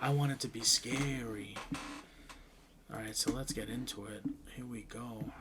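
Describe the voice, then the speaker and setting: Music plays in the background as a man talks at medium pitch and a moderate pace, with fairly even intonation and long, frequent pauses. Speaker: gaming YouTuber. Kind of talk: casual chat. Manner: loud.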